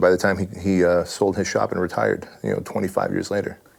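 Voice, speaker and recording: A man speaks with a Californian accent. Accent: Californian American English. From Armenia, raised in southern California. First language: Armenian. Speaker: fitness franchise owner and author. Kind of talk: interview. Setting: in person at his headquarters.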